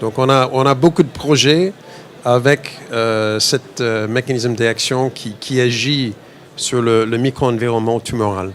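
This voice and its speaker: A man with an American accent at a very slow pace, medium in pitch with ordinary pitch variation, against noticeable background noise. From United States. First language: English (speaking French). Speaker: biotech company CEO. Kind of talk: interview at investor fair. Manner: halting, many repetitions and fillers.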